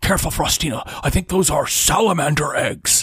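Putting on a character voice, a man speaks raspily at a moderate pace in a high pitch. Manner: cautious.

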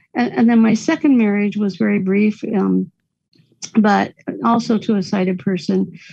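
Her voice somewhat breathy with a dark, mellow tone, a woman speaks at a medium pitch. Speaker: writer. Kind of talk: casual chat. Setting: phone call.

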